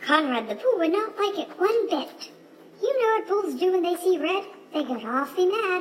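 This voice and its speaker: A woman's squeaky, put-on character voice, extremely high in pitch, at a moderate pace over clear background noise. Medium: read story. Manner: hooting, loud.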